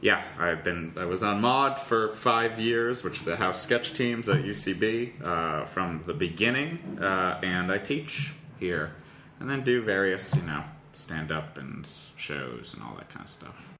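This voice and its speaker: A man's fairly low voice at a very slow pace, with very wide pitch swings, big swings in loudness and audible room echo. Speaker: comedian. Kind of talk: casual chat.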